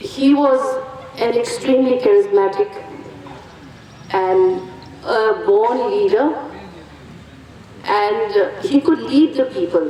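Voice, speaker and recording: A woman with a Northeast Indian accent speaks at a very slow pace in a high pitch, with very wide pitch swings and long, frequent pauses. Her loudness stays very even against noticeable background noise. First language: Karbi. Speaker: family representative speaker. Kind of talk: commemorative speech. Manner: halting, with fillers.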